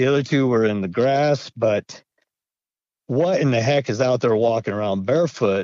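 A man speaks with an American accent in a plain, everyday voice. He keeps a medium pitch, ordinary pitch variation, moderate pace and very even loudness. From Idaho. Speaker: retired navy veteran, witness. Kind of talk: interview storytelling.

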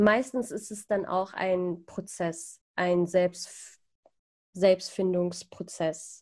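Speaking very slowly, a woman uses a dark, mellow tone with fairly even intonation. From Iran (Persian roots), came to Germany. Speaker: podcaster. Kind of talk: casual interview chat. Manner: hesitant, many fillers.

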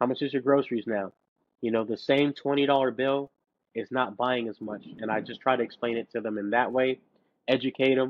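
A man's normal speaking voice at a medium pitch, with fairly even intonation and a fairly quick pace. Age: 30s. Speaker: financial coach and rapper. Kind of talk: casual interview chat.

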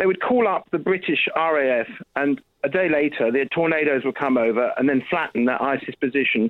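The voice moves at a moderate pace with lively intonation and very even loudness. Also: man, fairly high pitch for a man. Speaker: documentary maker. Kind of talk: phone-in call. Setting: phone call. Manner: animated.

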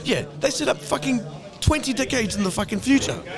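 A man talks at a very fast pace in a high, animated voice. His pitch swings very widely over noticeable background noise. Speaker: podcast host. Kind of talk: casual chat. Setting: bar.

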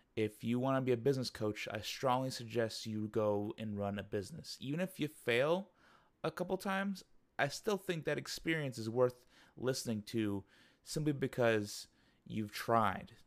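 A man talks at a moderate pace with lively intonation, in a plain, everyday voice. The recording is very clean, with a silent background. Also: medium pitch for a man. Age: 20s. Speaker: management consultant and podcaster. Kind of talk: solo monologue. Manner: casual.

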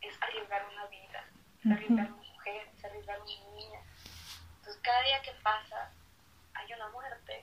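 Over noticeable background noise, a woman talks at a fairly slow pace in a fairly high, monotone voice with flat intonation. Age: 20s. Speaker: lawyer and activist. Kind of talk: live-streamed casual interview.

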